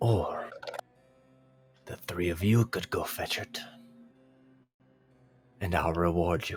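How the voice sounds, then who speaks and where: Putting on a character voice with a very deep, low pitch, a man speaks at a fairly slow pace with fairly even intonation and long, frequent pauses while faint music plays in the background. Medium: actual play. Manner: calm, terse, bargaining.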